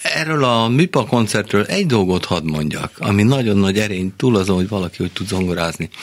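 A man speaks at a moderate pace with ordinary pitch variation and a fairly low pitch. Noticeable background noise runs behind him. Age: 70s. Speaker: jazz guitarist and composer. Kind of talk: radio interview. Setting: studio.

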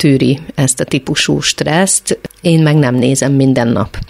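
Over noticeable background noise, a woman speaks with a very deep, low pitch and ordinary pitch variation. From Hungary, Szeged. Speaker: choreographer. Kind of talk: radio interview.

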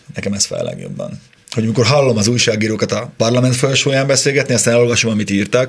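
Speaking very fast with ordinary pitch variation, a man is heard against noticeable background noise. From Upper Hungary (southern Slovakia). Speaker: motoring journalist. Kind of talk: casual chat.

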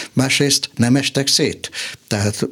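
Ordinary pitch variation marks a man's speech at a moderate pace, heard over noticeable background noise. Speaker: political scientist and economist. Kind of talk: radio interview.

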